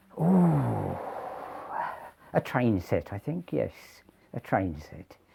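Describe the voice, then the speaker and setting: Speaking very slowly in a southern English accent, a man with a very deep, low pitch and vocal fry makes very wide pitch swings. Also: big swings in loudness. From southern England, Kent. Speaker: retired greengrocer. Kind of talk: interview. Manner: halting.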